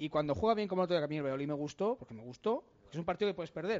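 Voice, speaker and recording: Fairly high-pitched for a man, he speaks very fast with very wide pitch swings. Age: 30s. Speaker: football pundit. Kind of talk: casual chat.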